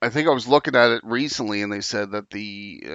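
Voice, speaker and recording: This is a man with an ordinary speaking voice. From Canada. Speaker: podcast host. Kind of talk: casual chat.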